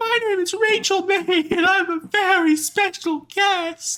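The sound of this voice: Someone uses a put-on character voice with extremely high pitch, speaking at a fairly slow pace.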